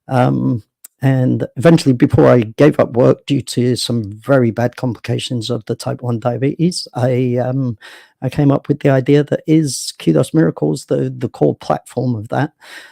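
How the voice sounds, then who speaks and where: On a very clean recording with a silent background and a dry, close sound with no echo, a man with a London accent speaks at a moderate pace, his medium-pitched voice dark and mellow in tone with ordinary pitch variation. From England, south London (Sydenham). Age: 40s. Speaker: founder of a social platform. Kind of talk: interview talk. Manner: hesitant, many fillers.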